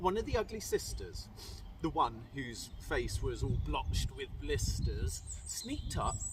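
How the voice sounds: With big pitch swings, a man talks at a slow pace. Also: medium pitch for a man.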